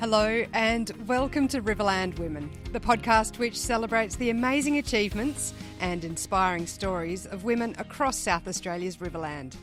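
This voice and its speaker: Over music in the background, a woman speaks at medium pitch and a moderate pace with lively intonation. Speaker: podcast host, former radio broadcaster. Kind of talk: podcast intro read.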